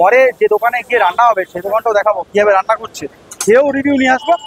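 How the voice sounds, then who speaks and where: Noticeable background noise sits behind a man with an extremely high voice. The sound is dry and close with no echo, and his pitch varies in an ordinary way. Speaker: food vlogger. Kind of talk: vlog narration. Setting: outdoors at a meat shop. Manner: casual, chatty.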